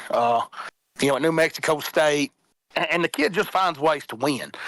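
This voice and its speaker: A man with a strong Southern accent speaks at a fairly high pitch in a bright, sharp tone. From Middle Tennessee. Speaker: college football panelist. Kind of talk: casual sports talk.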